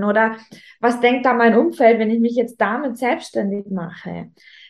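This woman's pitch sits fairly high, and she keeps a moderate pace. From Upper Bavaria, Germany (Rosenheim). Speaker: Instagram business coach, former fashion influencer. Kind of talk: casual interview. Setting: video recording, also on YouTube.

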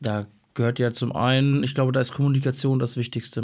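Against a silent background in a very clean recording, a man with a fairly high pitch and a normal speaking voice talks at a moderate pace. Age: 30s. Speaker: teacher. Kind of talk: casual chat.

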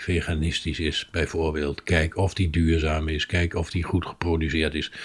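A somewhat breathy man at a fairly slow pace, on a very clean recording with a silent background. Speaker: podcast co-host. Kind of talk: recipe tutorial; casual chat.

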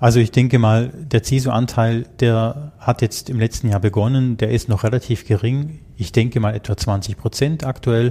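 A man speaks at a moderate pace and medium pitch. His tone is dark, mellow and somewhat breathy, and his intonation fairly even. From Germany. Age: 50s. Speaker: IT security manager. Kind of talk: interview.

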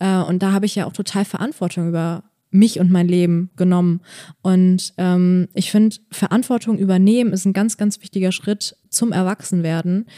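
A woman's dark, mellow voice at medium pitch and moderate pace, fairly even in intonation, dry and close with no echo, in a very clean recording with a silent background. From Bonn, Germany. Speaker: stand-up comedian. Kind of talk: casual chat.

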